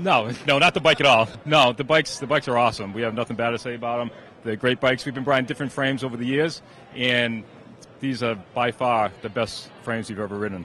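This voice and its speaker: A man with a Massachusetts accent talks very fast at medium pitch, with ordinary pitch variation. Noticeable background noise runs underneath. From Massachusetts, US. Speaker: sponsored amateur bike racer. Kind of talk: trade show interview.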